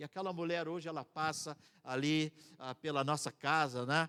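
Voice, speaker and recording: Here is a man with an ordinary speaking voice, fairly high in pitch, with ordinary pitch variation. He goes at a moderate pace in a dry, close sound with no echo. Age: 60s. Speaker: missionary. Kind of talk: sermon.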